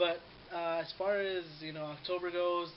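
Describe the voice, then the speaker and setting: A man talks in a monotone with flat intonation. Noticeable background noise and audible room echo fill the recording. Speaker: vlogger. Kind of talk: casual vlog monologue. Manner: says um a lot. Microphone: poor camera quality.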